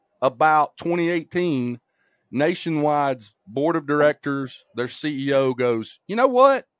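A man with an Alabama accent and a fairly high pitch, in a dry, close sound with no echo. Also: very clean recording, silent background. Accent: Southern US (Alabama). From US South, rural Alabama. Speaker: insurance agency owner. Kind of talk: casual chat. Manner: animated.

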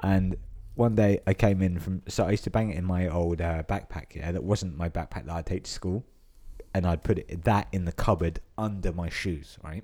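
This man has a very deep, low pitch and a dark, mellow tone, with a southern English accent. His intonation is fairly even and his pace moderate. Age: 20s. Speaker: podcast host. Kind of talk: casual chat.

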